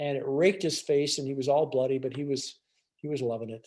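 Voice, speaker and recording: Talking at a fairly quick pace, a man speaks with a fairly high pitch. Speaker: restaurant owner. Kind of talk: illustrated talk. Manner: fast; halting.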